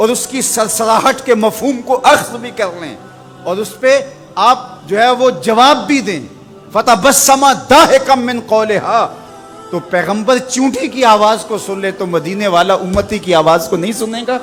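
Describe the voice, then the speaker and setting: The voice shows ordinary pitch variation. Music plays in the background. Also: man, high pitch for a man. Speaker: Islamic preacher giving a sermon. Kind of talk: religious sermon (bayan), passionate preaching.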